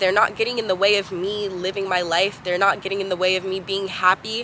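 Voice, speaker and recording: Amid noticeable background noise, a woman talks at a moderate pace and medium pitch. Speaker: vlogger. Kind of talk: casual monologue to camera. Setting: outdoors on a roof. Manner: casual, filler-heavy.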